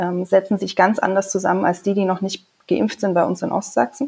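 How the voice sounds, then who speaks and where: At a fairly quick pace, a woman talks at a medium pitch in an ordinary speaking voice. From Saxony, Leipzig. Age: 30s. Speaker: member of parliament and physician. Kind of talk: casual chat.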